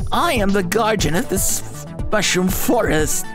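A put-on character voice at a middle pitch and a fairly slow pace, over loud background music. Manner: gruff.

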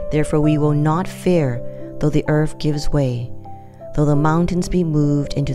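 A woman speaks at a moderate pace with a very deep, low pitch while music plays in the background. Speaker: Bible reader, devotional narrator. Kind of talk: Bible reading of a psalm, devotional.

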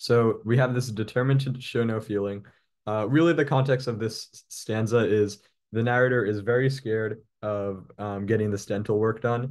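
A man delivers his words at a moderate pace with fairly even intonation. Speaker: test prep tutor. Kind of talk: tutorial. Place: home room. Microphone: webcam.

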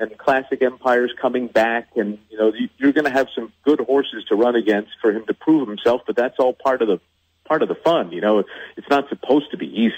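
This man has a normal speaking voice. He talks at a fairly quick pace with ordinary pitch variation. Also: medium pitch for a man. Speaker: horse race caller, track announcer. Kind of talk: radio interview answer.

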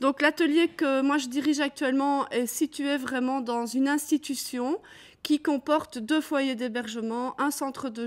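Speaking in a Belgian accent, a woman uses a high pitch and fairly even intonation. She goes at a fairly slow pace against a quiet background. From Belgium. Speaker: art workshop director, conference speaker; conference speaker. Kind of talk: conference talk. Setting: conference with audience. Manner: hesitant, many fillers. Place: hall.

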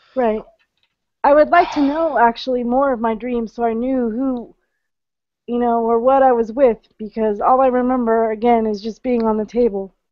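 A woman's high-pitched voice at a moderate pace, with a dry sound and no echo. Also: fairly even intonation. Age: 30s. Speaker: webinar participant. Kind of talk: casual chat. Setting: online video call. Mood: calm, recalling dream experience. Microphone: video call.

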